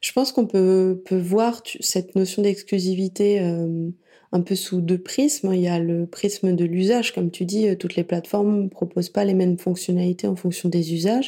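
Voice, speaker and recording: Her voice has a medium pitch and a dark, mellow tone as this woman talks at a moderate pace with fairly even intonation. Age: 30s. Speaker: podcast app founder and podcast consultant. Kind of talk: casual interview.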